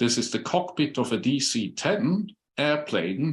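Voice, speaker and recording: A man speaks with a Swiss accent. His pitch swings very widely. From Switzerland. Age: 60s. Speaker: human biologist and former airline pilot. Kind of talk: conference presentation.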